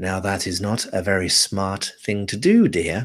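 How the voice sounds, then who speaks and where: A man puts on a character voice with fairly low pitch, speaking at a moderate pace in a monotone, flat way, with some hissing. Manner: hissing, menacing.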